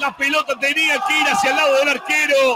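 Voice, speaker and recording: A man shouts at an extremely high pitch. Crowd noise fills the background. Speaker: football commentator. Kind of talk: live football commentary. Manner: animated, fast, excited play-by-play, rising on goals.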